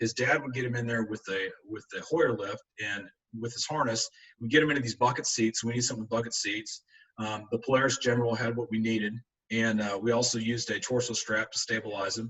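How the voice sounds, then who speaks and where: Very fast, fairly evenly intoned speech from a man at medium pitch. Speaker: agricultural rehabilitation specialist. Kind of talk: webinar presentation.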